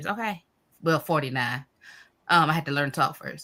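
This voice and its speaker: Captured in a very clean recording with a silent background, a woman's very deep, low pitch carries a bright, sharp tone. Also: ordinary pitch variation. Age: 40s. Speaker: live stream host. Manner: fast talker.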